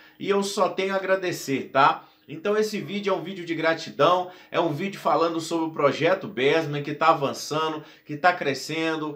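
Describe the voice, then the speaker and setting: A man with a high pitch speaks at a moderate pace. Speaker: DJ and YouTuber. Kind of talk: casual vlog to camera. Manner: animated.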